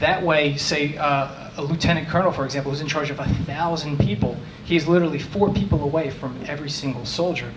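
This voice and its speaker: Talking at a fairly quick pace, a man with an American accent has a fairly high pitch, with noticeable background noise and audible room echo. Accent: New Jersey, comes out when frustrated. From New Jersey. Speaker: tech manager. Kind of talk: conference talk. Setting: meetup talk with audience. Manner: fast; casual.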